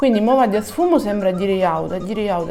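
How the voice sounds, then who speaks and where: A Sicilian accent with music in the background. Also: woman. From Sicily. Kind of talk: makeup tutorial talk to camera. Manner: casual, chatty.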